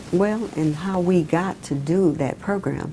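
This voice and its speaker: A woman speaks very slowly, her pitch varying in an ordinary way, while noticeable background noise sits behind her. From Mobile, Alabama, US South. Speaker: former city councilwoman. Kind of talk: oral history interview answer.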